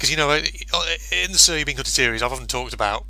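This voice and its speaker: There is noticeable background noise. A man speaks with a British accent. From UK. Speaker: gaming YouTuber. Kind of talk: gameplay commentary. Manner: animated.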